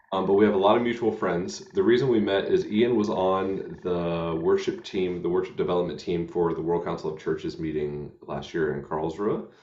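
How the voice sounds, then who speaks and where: A man with an American accent, hardly any pauses, audible room echo. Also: moderate pace. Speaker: hymn show host. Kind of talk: casual chat. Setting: live stream. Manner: halting.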